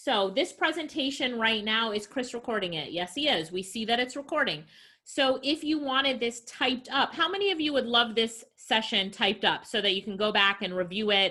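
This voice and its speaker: Her tone bright and sharp, a woman with a fairly high pitch speaks at a fairly quick pace, with lively intonation and hardly any pauses. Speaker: entrepreneur. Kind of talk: online presentation. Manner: animated.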